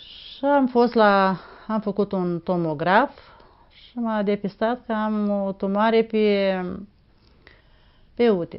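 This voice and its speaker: Speaking at a very slow pace, a woman leaves long, frequent pauses. Her pitch is medium, with ordinary variation. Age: 60s. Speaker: patient giving testimonial. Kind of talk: testimony. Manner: halting.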